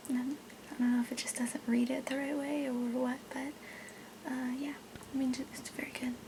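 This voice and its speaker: A woman talks at a high pitch and a moderate pace. Noticeable background noise runs underneath. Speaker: ASMR role-play creator playing a doctor. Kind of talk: ASMR role play. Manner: whispered, soft-spoken.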